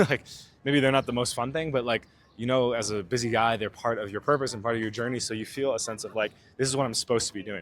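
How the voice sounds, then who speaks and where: This man has an American accent and a medium pitch. He talks at a very fast pace with fairly even intonation. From United States. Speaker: dating coach. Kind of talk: casual vlog talk to camera; casual chat with stranger. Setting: outdoors in a park. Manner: casual, filler-heavy.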